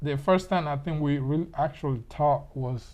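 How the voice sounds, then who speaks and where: Somewhat breathy and set against a quiet background, the speaker talks at a moderate pace with ordinary pitch variation in a Panamanian accent. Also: man. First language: Spanish. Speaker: interviewee. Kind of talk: casual interview.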